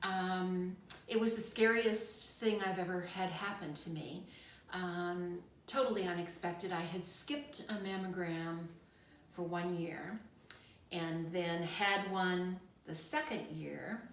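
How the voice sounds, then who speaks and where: A woman talks at a very slow pace with medium pitch and ordinary pitch variation. Room echo is audible. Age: 60s. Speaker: retired nurse, cancer survivor interviewee. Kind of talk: interview. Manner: hesitant with frequent fillers.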